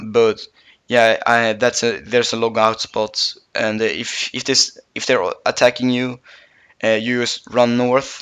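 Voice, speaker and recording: A man with a non-native accent and monotone, flat intonation. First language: not English. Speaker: gaming YouTuber. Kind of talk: tutorial. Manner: halting, many fillers.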